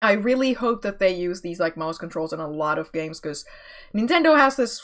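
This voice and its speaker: The voice swings very widely in pitch over a silent background in a very clean recording. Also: woman. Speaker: VTuber streamer. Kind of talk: casual chat. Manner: animated.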